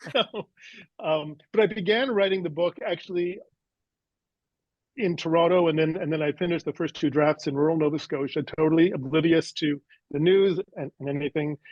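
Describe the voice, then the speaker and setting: Long, frequent pauses break up a man's speech. His pitch is high, with ordinary pitch variation. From Canada. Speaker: author. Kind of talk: interview. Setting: podcast interview. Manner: hesitant, many fillers.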